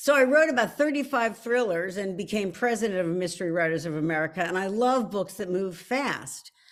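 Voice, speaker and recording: A woman with a Philadelphia accent talks at a fairly quick pace. Her pitch is medium and her intonation lively. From Philadelphia, US. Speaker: author. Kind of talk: author talk. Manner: animated.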